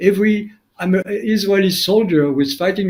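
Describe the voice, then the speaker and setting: A man with a strong French accent talks at a moderate pace. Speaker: documentary filmmaker. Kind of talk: interview.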